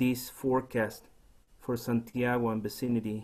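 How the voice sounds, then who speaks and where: With a Chilean accent, a man speaks at medium pitch and a fairly slow pace in a dark, mellow tone. His intonation is monotone and flat, with light background noise. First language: Spanish. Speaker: poet. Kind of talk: poetry reading. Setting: video call. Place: home room.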